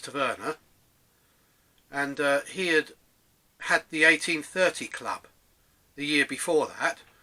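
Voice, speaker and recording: In an English accent, a man speaks fairly slowly at a fairly high pitch. His tone is bright and sharp, his intonation fairly even. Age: 60s. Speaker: DJ reminiscing, vlogger. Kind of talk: casual monologue, personal reminiscence. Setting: home room, self-recorded. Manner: hesitant, many fillers.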